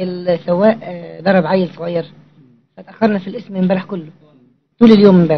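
A man with an Egyptian accent has a high pitch. He keeps a moderate pace and fairly even intonation. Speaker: visitor to the monastery, traveller. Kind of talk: casual talk to a monk.

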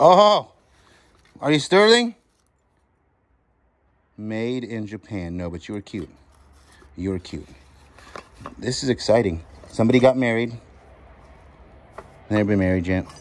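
Loudness swings widely as a man talks at a moderate pace with long, frequent pauses. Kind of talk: casual vlog commentary. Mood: excited, playful. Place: garage. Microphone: phone near.

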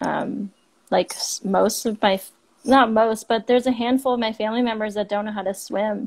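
A woman's fairly high, monotone voice with flat intonation, with a Canadian accent, at a moderate pace against a quiet background. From Canada. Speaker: marine biology student and outdoor ambassador. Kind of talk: casual interview. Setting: Instagram live stream. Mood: warm, reflective. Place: home room. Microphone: earbuds.

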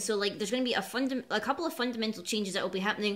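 A woman's voice rises and falls in a lively way, with a quiet background behind her. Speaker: card game vlogger. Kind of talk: casual vlog chat. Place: home room. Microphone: webcam.

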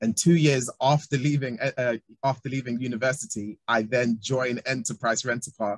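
A man with a London accent speaks at a moderate pace, somewhat breathy, with fairly even intonation. The sound is dry with no echo, and the background is quiet. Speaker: talent development specialist. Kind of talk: panel discussion. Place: home room. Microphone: video call.

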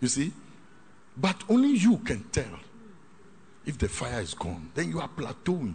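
A man talks at a fairly slow pace with very wide pitch swings. Long, frequent pauses break up his speech over light background noise. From Ghana. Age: 60s. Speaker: pastor. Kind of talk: sermon. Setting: hall with live congregation. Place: hall.

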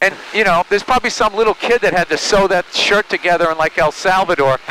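With light background noise and a dry sound with no echo, a man speaks at a fairly quick pace. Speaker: guest. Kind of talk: casual conversation, comedic riff. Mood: wry, mildly annoyed rant. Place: plane. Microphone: headset.

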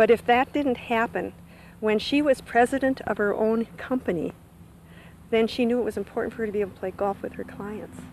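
At a fairly quick pace, a woman talks with fairly high pitch, ordinary pitch variation and a slightly mellow tone.

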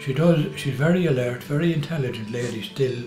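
Clear music plays in the background as a man speaks at a moderate pace with ordinary pitch variation, his voice carrying audible room echo. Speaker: family carer for his wife. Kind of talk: interview answer. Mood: warm, reflective. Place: kitchen.

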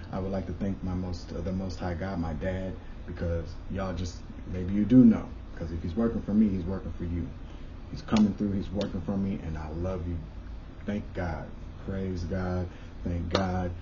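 Over noticeable background noise, a man with a very deep, low pitch talks in fairly even intonation, leaving long, frequent pauses. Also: moderate pace. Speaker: spiritual vlogger. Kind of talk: casual vlog chat. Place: home room. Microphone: camera far.

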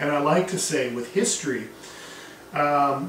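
A man is talking here. There is light background noise and audible room echo. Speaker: history teacher. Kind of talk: lecture. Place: classroom.

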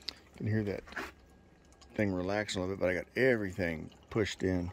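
Light background noise sits behind a man's very deep, low voice. He keeps a moderate pace and fairly even intonation. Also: dry sound with no echo. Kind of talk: tutorial. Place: street. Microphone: phone near.

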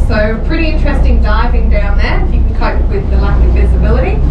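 A woman talks at a very fast pace. Loud background noise runs underneath. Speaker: tour guide. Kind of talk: guided tour commentary. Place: boat. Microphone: camera far.

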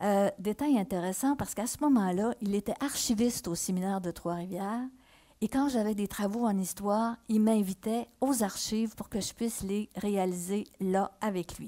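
Against a quiet background, a woman speaks at a moderate pace in a medium pitch, with a dark, mellow tone and ordinary pitch variation. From Quebec, Mauricie (Shawinigan); Quebec. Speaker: historical novelist. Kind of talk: reading aloud. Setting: stage with audience. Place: stage. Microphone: headset.

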